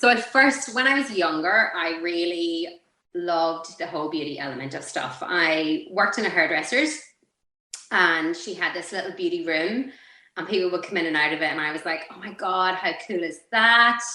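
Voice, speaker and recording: A woman with an Irish accent, fairly low in pitch, with a bright, sharp tone, lively intonation, moderate pace and audible room echo. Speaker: beauty clinic owner and coach. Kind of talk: interview.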